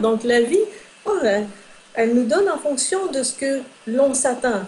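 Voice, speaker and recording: A woman speaks at a moderate pace. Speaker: metaphysician and relationship consultant. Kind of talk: interview. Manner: hesitant fillers.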